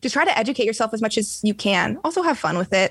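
A woman talks with a fairly high pitch. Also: very clean recording, silent background. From US West Coast, San Diego area. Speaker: singer. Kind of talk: casual interview.

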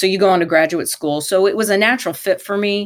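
With a plain, everyday voice and an American accent, a woman talks at a fairly quick pace with ordinary pitch variation on a very clean recording with a silent background. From Michigan, US. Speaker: sports lawyer. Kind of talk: interview.

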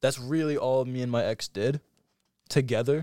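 A man with an American accent has a plain, everyday voice at a medium pitch and fairly even intonation. The recording is very clean, with a silent background. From upstate New York. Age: young. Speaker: podcast guest. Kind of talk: casual chat.

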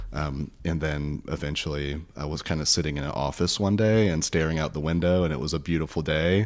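With an American accent, a man speaks at a fairly quick pace in a very deep, low voice with fairly even intonation. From US South, rural northwest Florida. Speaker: therapist. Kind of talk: interview.

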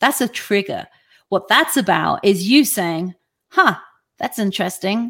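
This woman has a normal speaking voice at a medium pitch. She talks at a moderate pace with ordinary pitch variation. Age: 50s. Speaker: online talk show host and life coach. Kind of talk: live-streamed motivational talk with audience Q&A. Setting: live online broadcast.

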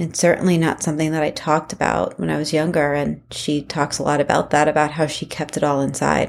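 This woman speaks at a very fast pace with hardly any pauses, in a very deep, low pitch with vocal fry and monotone, flat intonation. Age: 30s. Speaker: podcast host and emotional abuse coach. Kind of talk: solo podcast commentary.

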